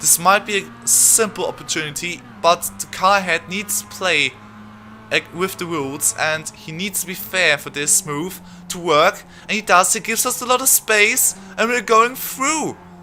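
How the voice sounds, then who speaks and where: A man with a high pitch and a non-native accent, speaking at a moderate pace over music in the background. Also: lively intonation. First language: not English. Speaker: gaming youtuber. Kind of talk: live commentary. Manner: halting.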